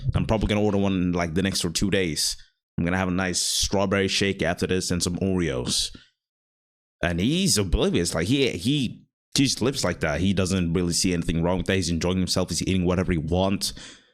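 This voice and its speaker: The pace is fairly quick and the loudness very even, in a very clean recording with a silent background. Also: man, very deep, low pitch for a man, ordinary pitch variation. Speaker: content creator vlogger. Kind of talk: casual monologue vlog. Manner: fast; rambling, hesitant with fillers.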